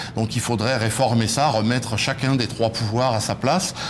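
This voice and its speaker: Moderate pace, with noticeable background noise and audible room echo. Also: man. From France. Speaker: political movement leader. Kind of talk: TV interview. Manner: hesitant, many fillers.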